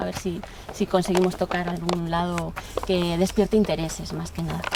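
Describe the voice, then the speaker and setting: Noticeable noise fills the background as the speech moves at a fairly quick tempo. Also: woman. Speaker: museum educator. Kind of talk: conference talk. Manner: halting.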